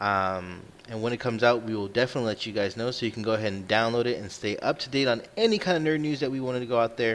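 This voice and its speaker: Speaking at a very fast pace with hardly any pauses, a man uses a medium pitch and ordinary pitch variation. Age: 30s. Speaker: podcast host. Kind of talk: casual chat.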